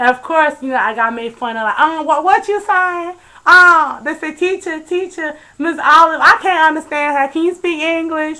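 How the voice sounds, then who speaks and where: Projecting a raised voice at an extremely high pitch, a woman speaks at a moderate pace with lively intonation and a bright, sharp tone on a very clean recording with a silent background. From Nigeria (Ijebu). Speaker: vlogger. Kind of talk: casual chat. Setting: webcam video.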